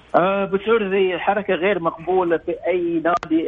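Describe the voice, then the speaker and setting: A man speaks over noticeable background noise. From Bahrain. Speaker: former footballer, football pundit. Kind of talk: casual sports discussion.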